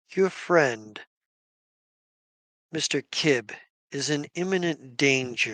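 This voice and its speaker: In a put-on character voice pitched fairly high, a man speaks at a very slow pace, dry and close with no echo against a quiet background. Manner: grave, warning.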